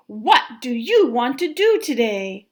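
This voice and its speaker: A woman's put-on character voice, high-pitched with very wide pitch swings, at a fairly slow pace. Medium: read story.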